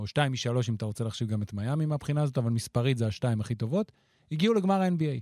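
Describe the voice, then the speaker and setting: With a dark, mellow tone, a man's pitch swings very widely in a dry, close sound with no echo. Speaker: basketball analyst. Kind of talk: casual chat.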